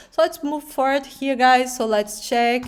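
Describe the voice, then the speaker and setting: A woman with a strong Brazilian accent talks at a moderate pace. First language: Portuguese. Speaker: video reaction YouTuber. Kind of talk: reaction commentary. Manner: halting, many fillers.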